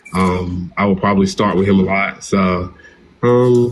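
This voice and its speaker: A man talks with an American accent. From US South, small-town North Carolina. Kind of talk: interview. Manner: casual, animated.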